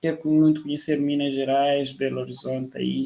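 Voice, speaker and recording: At a moderate pace, a man with a fairly high pitch speaks in a monotone, flat intonation. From Mozambique. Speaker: live stream host. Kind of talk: interview conversation. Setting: online live stream.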